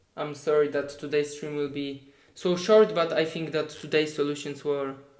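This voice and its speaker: In a Polish accent, a man with a fairly high voice speaks at a fairly slow pace with fairly even intonation and audible room echo. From Poland. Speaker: competitive programmer. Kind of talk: live stream tutorial. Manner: halting.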